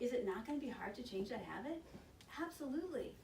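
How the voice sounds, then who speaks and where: Amid noticeable background noise and audible room echo, a woman talks very fast with lively intonation and an animated tone. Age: 60s. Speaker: hospital smoking cessation counselor. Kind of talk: informal presentation to a group. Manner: conversational, animated.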